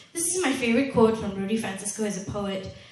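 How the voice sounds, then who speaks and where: The woman's fairly high voice comes through noticeable background noise. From Malaysia. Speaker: spoken word poet. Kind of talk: live presentation talk. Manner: casual, chatty.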